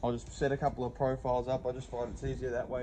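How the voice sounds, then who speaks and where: Over noticeable background noise, a man speaks at a very fast pace in a monotone, flat intonation. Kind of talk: tutorial. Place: street.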